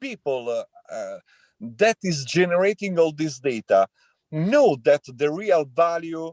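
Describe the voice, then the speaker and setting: Speaking in an Italian accent at a fairly slow pace, the voice carries lively intonation in a dry, close sound with no echo. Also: man. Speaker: tech entrepreneur. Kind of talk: panel discussion. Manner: halting, many fillers.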